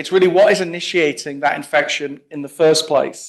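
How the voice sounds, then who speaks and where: A man speaks with an English accent. His pitch is high. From England. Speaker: plant pathologist. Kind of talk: conference talk. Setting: meeting room with audience.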